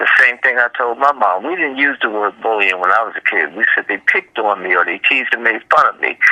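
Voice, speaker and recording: A man with a Washington DC accent talks at a fairly quick pace in a dry, close sound with no echo. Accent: Washington D.C. American English. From Washington, D.C., US. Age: 60s. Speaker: children's book author. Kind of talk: interview.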